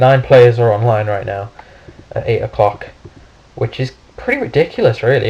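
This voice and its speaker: With a British accent, a man talks at a moderate pace. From United Kingdom. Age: young. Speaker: gaming YouTuber. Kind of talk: gameplay commentary. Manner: halting, many fillers.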